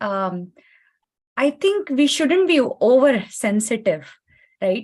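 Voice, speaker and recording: In a Kannada accent, a high-pitched woman talks at a fairly slow pace with very wide pitch swings. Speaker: panelist, tech professional. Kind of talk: panel discussion.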